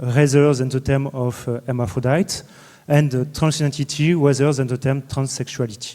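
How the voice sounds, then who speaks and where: His dark, mellow tone sits at a fairly high pitch for a man, and his intonation stays fairly even. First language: French. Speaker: law lecturer. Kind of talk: conference talk. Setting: university conference hall. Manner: halting, many hesitations.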